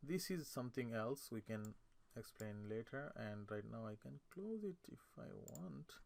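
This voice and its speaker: A man with a non-native accent talks at a fairly slow pace in a medium pitch, his voice making very wide pitch swings. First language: not English. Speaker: AutoCAD instructor. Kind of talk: tutorial. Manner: halting, many fillers and self-corrections.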